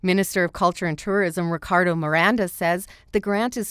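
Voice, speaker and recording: This woman has a plain, everyday voice. The recording is very clean with a silent background and a dry, close sound with no echo. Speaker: radio news reporter. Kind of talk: radio news report.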